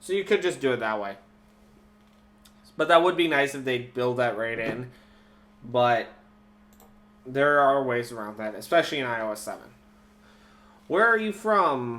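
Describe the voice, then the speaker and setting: With a slight Minnesotan accent, the speaker uses lively intonation and a bright, sharp tone at a moderate pace, broken by long, frequent pauses. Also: man, medium pitch for a man. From Minnesota, US Midwest. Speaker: live stream host. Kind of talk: casual live stream commentary. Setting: live YouTube broadcast.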